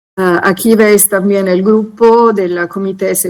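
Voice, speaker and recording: A woman with an Italian accent speaks at a very slow pace. Her pitch is medium, with ordinary variation. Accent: Italian-tinged Spanish. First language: Italian (speaking Spanish). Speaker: conservation specialist group coordinator. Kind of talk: conference presentation. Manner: hesitant, many fillers.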